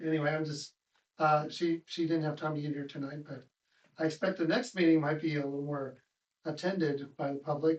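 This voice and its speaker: Using a normal speaking voice, a man with an American accent talks at a fairly quick pace with a fairly high pitch and fairly even intonation. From United States, small town. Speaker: member of the public at council meeting. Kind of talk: casual remarks at public forum.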